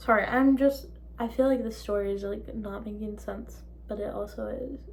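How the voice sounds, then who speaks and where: A voice with an American accent and big swings in loudness comes through with audible room echo. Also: woman, moderate pace. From Minnesota. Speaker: vlogger. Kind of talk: story time. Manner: animated.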